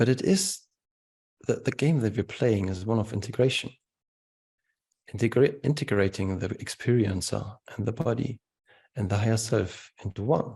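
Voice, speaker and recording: Speaking with a German accent at a moderate pace, a man with a medium pitch and a dark, mellow tone sounds somewhat breathy, shows ordinary pitch variation and leaves long, frequent pauses. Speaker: spiritual teacher. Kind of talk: webinar Q&A answer. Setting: video call webinar.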